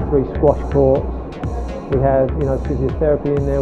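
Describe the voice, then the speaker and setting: A man speaks with a very deep, low pitch. His delivery is monotone and flat, with clear music in the background. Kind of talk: interview answer. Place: gym. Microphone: lapel.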